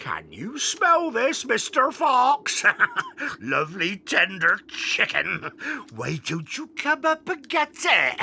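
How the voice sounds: A man puts on a character voice at an extremely high pitch. He speaks at a very slow pace with very wide pitch swings.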